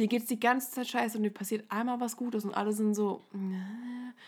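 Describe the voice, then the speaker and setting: The recording is very clean, with a silent background, as a woman speaks at a moderate pace with fairly even intonation. Her voice is fairly high and somewhat breathy. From Odenwald, Hesse, Germany. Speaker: podcast co-host. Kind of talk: casual chat.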